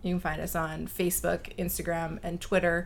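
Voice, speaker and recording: A woman speaks with a Canadian accent. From Chilliwack, British Columbia, Canada. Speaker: wine YouTuber. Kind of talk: casual chat.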